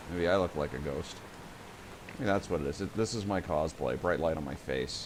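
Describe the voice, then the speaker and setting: Mumbling at a fairly quick pace, a man speaks with a very deep, low pitch and ordinary pitch variation. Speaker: video game streamer. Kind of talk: live gameplay commentary.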